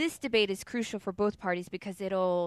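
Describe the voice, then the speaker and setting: Woman with a normal speaking voice, medium pitch and ordinary pitch variation. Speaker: news segment presenter on a podcast. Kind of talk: casual chat with news rundown. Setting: home garage studio, live webcast.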